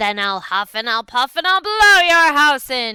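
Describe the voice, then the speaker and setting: This is a put-on character voice with a high pitch. Its pitch swings very widely. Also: moderate pace. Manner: growling, threatening.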